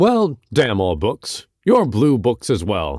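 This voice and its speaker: A man puts on a character voice at a medium pitch, with very wide pitch swings. He speaks at a very slow pace. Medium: read story. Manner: brief, blunt.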